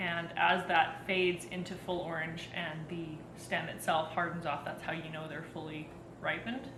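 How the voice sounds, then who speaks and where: Over noticeable background noise and audible room echo, a woman with a western Canadian accent speaks at a moderate pace, her fairly low pitch carried on fairly even intonation. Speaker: home gardener. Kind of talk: tutorial. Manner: frequent filler ums.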